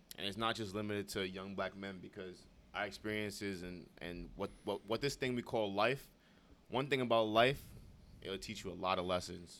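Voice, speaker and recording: With a New York accent, a man speaks at a moderate pace in a fairly low pitch and fairly even intonation. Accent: New York City. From New York City (Brooklyn, Bronx). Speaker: podcast co-host, college student. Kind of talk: casual chat.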